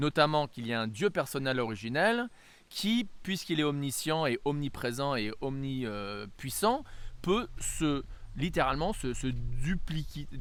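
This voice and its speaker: The speech has lively intonation and a fairly slow pace. Audible room echo surrounds the voice. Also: man, fairly high pitch for a man. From France-US bicultural. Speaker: religious teacher. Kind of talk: lecture. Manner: halting, many hesitations.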